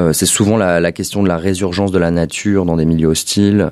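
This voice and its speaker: A man speaks in a very deep, low pitch. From Paris. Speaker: visual artist. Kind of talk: interview conversation. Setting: artist studio.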